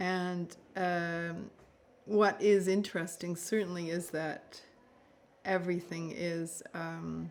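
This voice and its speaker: Monotone and flat, a woman with a fairly low pitch talks at a very slow pace with long, frequent pauses. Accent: Canadian. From Canada (Toronto). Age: 60s. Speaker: novelist. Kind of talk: interview. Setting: festival interview. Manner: halting, many fillers.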